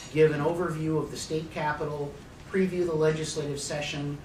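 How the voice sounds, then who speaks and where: A man with an American accent speaks fairly quickly in a fairly high voice, his intonation monotone and flat. Audible room echo and noticeable background noise surround him. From Arizona (Phoenix). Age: 60s. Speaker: political analyst / speaker. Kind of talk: conference talk. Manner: halting, many fillers.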